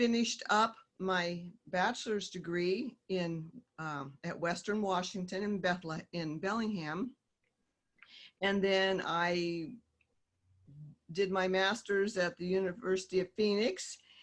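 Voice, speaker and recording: With a Midwestern US accent, a woman talks at a fairly slow pace and medium pitch, leaving long, frequent pauses. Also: fairly even intonation. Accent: US Midwest. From Kansas. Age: 60s. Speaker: author and teacher. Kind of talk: casual interview.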